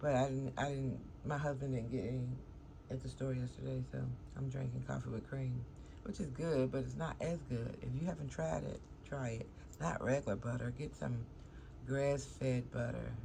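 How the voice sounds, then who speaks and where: Mumbling with long, frequent pauses, a woman speaks amid audible room echo. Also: moderate pace. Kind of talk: casual vlog talk. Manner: casual, meandering.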